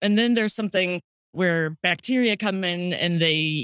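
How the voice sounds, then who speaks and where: This is an unremarkable speaking voice with ordinary pitch variation and a dry, close sound with no echo. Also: woman. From St. Louis, Missouri, US Midwest. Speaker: sommelier and wine podcaster. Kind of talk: casual interview chat. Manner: casual, filler-heavy.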